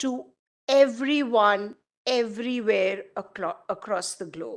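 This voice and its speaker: Ordinary pitch variation comes through at a very slow pace. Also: woman, fairly high pitch for a woman. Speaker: publisher's training manager. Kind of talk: workshop presentation. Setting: auditorium with live audience. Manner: lively, engaging.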